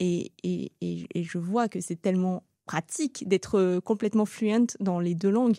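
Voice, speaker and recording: A dark, mellow tone comes through at a moderate pace with ordinary pitch variation and hardly any pauses, in a dry, close sound with no echo over a quiet background. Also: woman. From France, Seine-et-Marne (Paris region), Sri Lankan family. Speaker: restaurant entrepreneur. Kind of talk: interview testimony. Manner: hesitant, many fillers.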